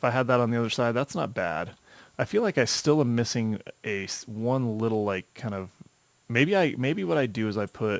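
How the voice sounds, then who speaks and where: Soft-spoken and medium-pitched, a man talks at a moderate pace with ordinary pitch variation. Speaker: gaming video creator. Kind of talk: gameplay commentary. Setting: home desk recording. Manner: halting.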